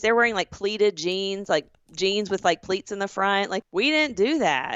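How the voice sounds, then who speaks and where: A woman speaks at a medium pitch. She talks with a Southern US accent. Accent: Southern drawl. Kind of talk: casual podcast conversation.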